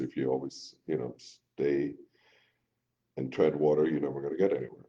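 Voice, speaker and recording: A man speaks at a moderate pace. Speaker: business partner. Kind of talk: live stream chat. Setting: live video stream. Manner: commanding.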